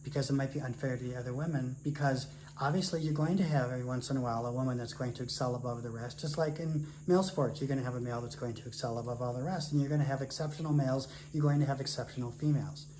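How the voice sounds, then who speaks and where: With an American accent and fairly even intonation, a man talks at a very fast pace amid noticeable background noise and audible room echo. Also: fairly high pitch for a man. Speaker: retired academic, podcast co-host. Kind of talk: casual discussion.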